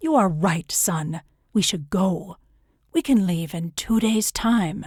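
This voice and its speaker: A woman's gravelly put-on character voice at medium pitch, fairly slow, on a very clean recording with a silent background. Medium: read story.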